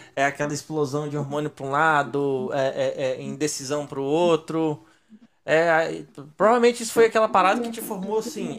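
A man's fairly high voice, lively in intonation, at a moderate pace with long, frequent pauses. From Minas Gerais, Brazil. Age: 30s. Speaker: podcast host. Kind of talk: casual chat.

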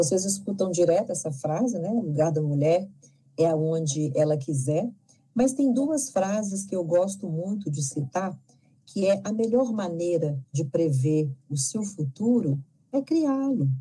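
Fairly low-pitched and somewhat breathy, a woman at a fairly slow pace with a dark, mellow tone and very wide pitch swings. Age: 50s. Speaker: lecturer and leadership consultant. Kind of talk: interview.

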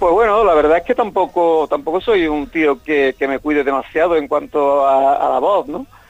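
A man speaks in a plain, everyday voice at a fairly slow pace. His pitch varies in an ordinary way, and the sound is dry and close with no echo. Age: 60s. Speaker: rock singer. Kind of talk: interview.

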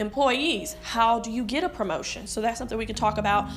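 Noticeable background noise and audible room echo accompany a woman's voice. She speaks at a fairly high pitch with fairly even intonation. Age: 20s. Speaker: podcast host, HR representative. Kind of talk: solo podcast monologue.

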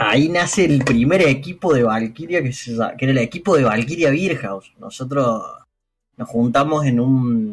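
A man talks at a fairly slow pace with ordinary pitch variation. His is a normal speaking voice. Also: medium pitch for a man. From Argentina, Córdoba. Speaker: fighting game team captain. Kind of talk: casual interview.

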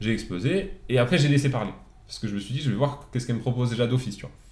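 A man speaks at a very fast pace in a somewhat breathy voice. Audible room echo surrounds the recording. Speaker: podcast guest, new father. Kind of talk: casual chat.

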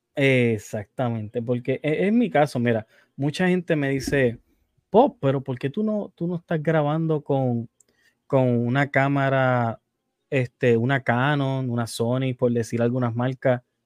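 This man speaks at a fairly slow pace with a Puerto Rican accent, a medium pitch, and ordinary pitch variation. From Puerto Rico. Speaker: podcast host. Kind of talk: casual interview chat. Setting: live stream.

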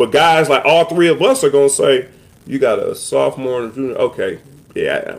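A man with an American accent talks at a fairly high pitch in a plain, everyday voice. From Cleveland, Ohio. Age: 40s. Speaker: podcast host, former football player. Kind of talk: casual chat.

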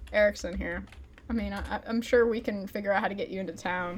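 A woman is talking fairly quickly, and there is noticeable background noise. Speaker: player. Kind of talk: tabletop role-playing game session.

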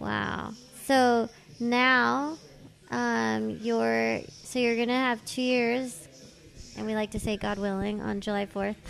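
A woman with a Californian accent speaking at a very slow pace. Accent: Valley Californian. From Los Angeles, San Fernando Valley. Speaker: podcast host. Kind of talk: casual interview chat. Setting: tattoo shop, recorded while guest is being tattooed.

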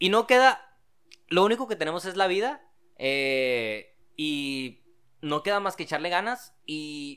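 A man's high, bright, sharp voice with very wide pitch swings at a very slow pace, in a very clean recording over a silent background. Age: 20s. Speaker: TV host and rock musician. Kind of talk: casual chat.

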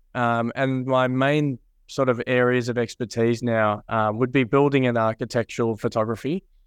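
In a dry, close recording with no echo and a quiet background, a man with an Australian accent speaks at a medium pitch and moderate pace, his loudness very even and his intonation fairly even. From Australia, Mornington Peninsula. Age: 20s. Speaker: photographer and business owner. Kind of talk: interview.

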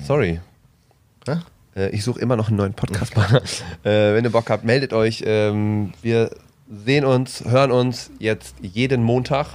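A man speaks at a fairly slow pace, leaving long, frequent pauses. His medium pitch shows ordinary variation. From East Westphalia, Bielefeld. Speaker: comedian, podcast co-host. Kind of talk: casual chat.

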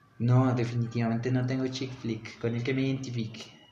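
A man's medium-pitched voice carries through a room with audible echo. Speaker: podcast host. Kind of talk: casual chat. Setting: outdoor market.

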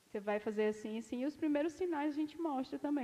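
A woman speaking over noticeable background noise. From Ceará, Brazil. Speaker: dentist. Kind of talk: casual chat. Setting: studio.

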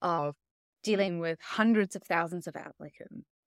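In an ordinary speaking voice, a woman talks at a fairly slow pace and medium pitch with ordinary pitch variation, the sound dry and close with no echo and the recording very clean over a silent background. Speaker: researcher on AI and hiring. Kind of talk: interview conversation.

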